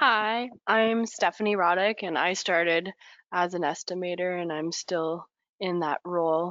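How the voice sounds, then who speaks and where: A woman uses a plain, everyday voice at a fairly low pitch and a fairly slow pace. Her pitch varies in an ordinary way, and the sound is dry with no echo over a quiet background. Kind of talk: webinar presentation. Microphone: video call.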